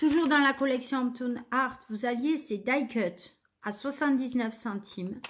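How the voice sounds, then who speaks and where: Over light background noise, a woman with a high pitch and ordinary pitch variation talks at a very slow pace with long, frequent pauses. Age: 30s. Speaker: craft vlogger. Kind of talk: shopping haul video. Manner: hesitant with fillers. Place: home room. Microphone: phone near.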